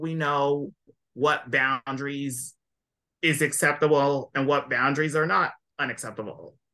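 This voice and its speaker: A man speaks with a bright, sharp tone. His pitch sits fairly high. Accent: Californian. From California. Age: 20s. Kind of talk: casual interview chat.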